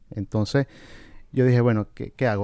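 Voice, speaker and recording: A man's medium-pitched voice, dark and mellow in tone, with ordinary pitch variation, on a very clean, dry, close recording with a silent background and no echo. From Venezuela. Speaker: family physician. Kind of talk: interview conversation.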